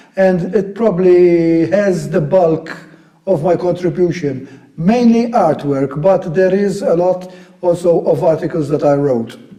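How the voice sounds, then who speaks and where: A high-pitched man at a fairly slow pace, with ordinary pitch variation and very even loudness, over noticeable background noise. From Malta, Vittoriosa. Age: 60s. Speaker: militaria collector and historian. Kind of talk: interview.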